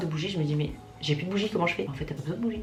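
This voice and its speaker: A woman speaks with ordinary pitch variation. There is audible room echo and noticeable background noise. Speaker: beauty vlogger. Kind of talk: casual vlog talk to camera. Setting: at home, ring light. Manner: fast.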